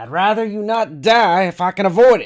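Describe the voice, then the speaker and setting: Delivered at a fairly quick pace, this put-on character voice comes through on a very clean recording with a silent background. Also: man, high pitch for a man. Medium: read story. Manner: calm, businesslike.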